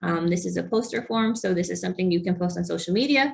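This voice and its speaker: A woman's somewhat breathy, fairly low voice at a fairly quick pace. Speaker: program coordinator for nonprofit health foundation. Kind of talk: webinar presentation.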